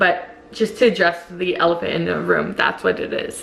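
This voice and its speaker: With noticeable background noise behind her, a woman talks at a fairly slow pace. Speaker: vlogger. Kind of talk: casual vlog. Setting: at home, kitchen. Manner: casual, filler-heavy.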